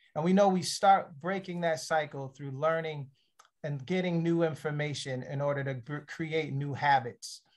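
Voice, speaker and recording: At a moderate pace, a man with an American accent speaks with a fairly high pitch and fairly even intonation against a quiet background. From Philadelphia area. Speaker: panel moderator. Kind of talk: virtual workshop panel. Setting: video call. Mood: warm, grateful, upbeat. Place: home room. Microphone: webcam.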